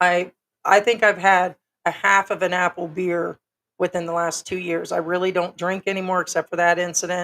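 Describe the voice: A woman speaks at a moderate pace in a fairly low pitch with little pitch movement and a fairly bright tone, the sound dry and close with no echo.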